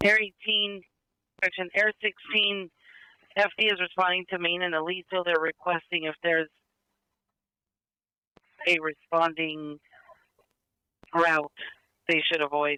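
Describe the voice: Using a high pitch with little pitch movement, a man speaks at a fairly slow pace with long, frequent pauses, his tone bright and sharp yet clear and smooth, in a dry, close sound with no echo.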